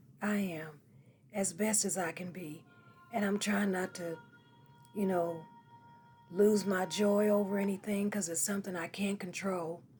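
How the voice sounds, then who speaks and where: Music plays behind a woman speaking at medium pitch and a moderate pace. Her delivery is flat and monotone, with long, frequent pauses. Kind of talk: casual talk to camera.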